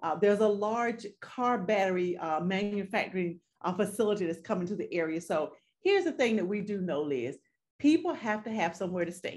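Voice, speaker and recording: A woman speaks in a Southern US accent. Her pace is fairly quick. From North Carolina. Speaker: real estate agent; guest. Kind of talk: interview. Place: home room. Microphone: video call.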